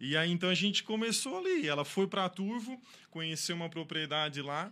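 This man's voice is high-pitched with a bright, sharp tone. He speaks at a moderate pace on a very clean recording with a silent background. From southern Brazil, Santa Catarina (Içara). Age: 30s. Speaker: fruit farmer. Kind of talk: interview.

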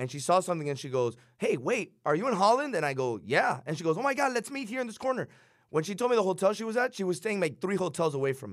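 On a very clean recording with a silent background, a man with a Miami accent talks very fast in a high pitch with very wide pitch swings. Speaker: radio co-host. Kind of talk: casual radio chat.

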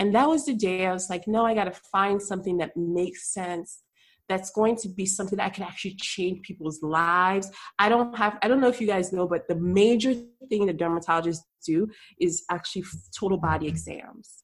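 A woman with a plain, everyday voice talks at a fairly quick pace, her medium pitch showing ordinary pitch variation. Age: 30s. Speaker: obstetrician gynecologist. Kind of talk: interview conversation. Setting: video call.

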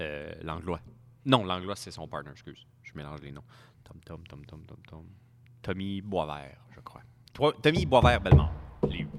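A man's very deep, low voice in a Quebec accent, fairly slow with long, frequent pauses, lively intonation, and big swings in loudness. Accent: Québécois French. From Quebec, Montreal area (Saint-Léonard). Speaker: car dealership worker and drifter. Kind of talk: casual chat.

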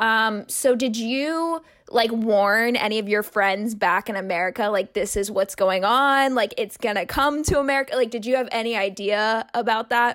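A woman with a plain, everyday voice speaks at a moderate pace in a fairly high pitch, with ordinary pitch variation, hardly any pauses, and a very clean recording over a silent background. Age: 20s. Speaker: podcast co-host. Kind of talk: casual chat.

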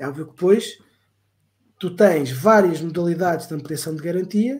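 A man speaks at a moderate pace. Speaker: podcast co-host, retail customer service worker. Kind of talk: casual chat.

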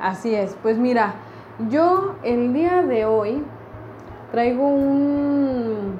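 Recorded with audible room echo and noticeable background noise, a woman speaks at a very slow pace in a high pitch, with lively intonation, very even loudness, and long, frequent pauses. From Mexico City. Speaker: podcast host, graphic designer. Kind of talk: casual chat.

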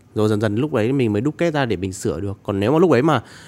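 A man speaks at a very fast pace, and his intonation is lively. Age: 20s. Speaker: TikTok content creator. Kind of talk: casual chat.

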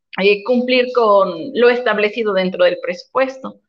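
A woman talks fairly slowly in a high voice whose pitch varies in an ordinary way. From Puebla, Mexico. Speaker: municipal official. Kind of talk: interview.

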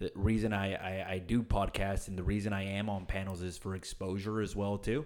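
Speaking fairly quickly in a normal speaking voice, a man keeps a fairly low pitch and fairly even intonation on a very clean recording with a silent background. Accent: American. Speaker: real estate agent. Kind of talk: interview. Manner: casual.

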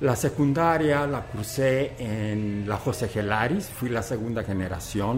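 Music plays in the background as a man speaks at a fairly slow pace with audible room echo. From Teocaltiche, Jalisco, Mexico. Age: 70s. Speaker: retired teacher and school director. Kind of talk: interview. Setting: restaurant.

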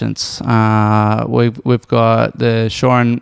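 A man talks in a flat, monotone delivery. The sound is dry and close, with no echo. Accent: Australian. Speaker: professional Ironman athlete. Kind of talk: casual chat.

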